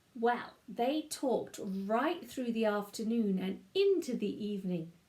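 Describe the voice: Someone does plain reading aloud, the intonation lively throughout.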